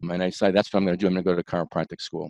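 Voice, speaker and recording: Male voice in a Bronx accent, dry and close with no echo, against a quiet background. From New York, the Bronx. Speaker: chiropractor. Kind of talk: interview.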